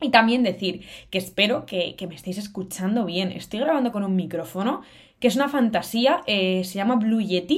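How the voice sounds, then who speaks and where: A woman speaks at a moderate pace and medium pitch. Her pitch varies in an ordinary way. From Cantabria, northern Spain. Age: 20s. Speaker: podcast host, university student. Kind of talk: solo casual podcast monologue. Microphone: good-quality microphone.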